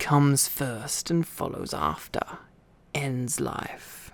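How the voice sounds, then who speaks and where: A man whispers in a put-on character voice, with audible hissing. He goes at a very slow pace. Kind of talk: silly comic impression. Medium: read story. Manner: hissing, broken grammar, talks to himself.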